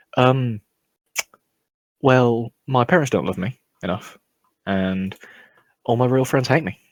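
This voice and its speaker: Speaking with a British accent at a fairly slow pace, the voice has ordinary pitch variation and long, frequent pauses in a dry, close sound with no echo. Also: man, medium pitch for a man. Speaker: podcast host. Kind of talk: casual chat. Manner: low-energy.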